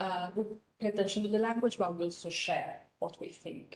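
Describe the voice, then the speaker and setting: The voice keeps a fairly even intonation, with audible room echo around it. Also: woman. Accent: Italian. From northern Italy, Reggio Emilia. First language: Italian. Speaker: professor. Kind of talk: lecture.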